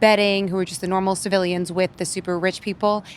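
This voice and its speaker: The woman has an ordinary speaking voice, medium in pitch, and talks at a fairly quick pace. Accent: American. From Massachusetts, Worcester. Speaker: film critic. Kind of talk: casual film review chat.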